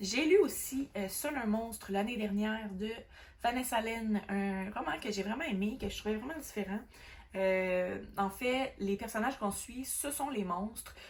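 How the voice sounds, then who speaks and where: A woman's fairly high, fairly slow voice with ordinary pitch variation amid noticeable background noise. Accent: Quebec. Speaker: book vlogger. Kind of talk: casual book review monologue. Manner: hesitant, many fillers.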